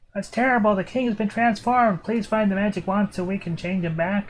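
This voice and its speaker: A man puts on a high-pitched character voice and talks at a fairly quick pace. Background noise is clearly present. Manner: quieter, held back to spare the throat.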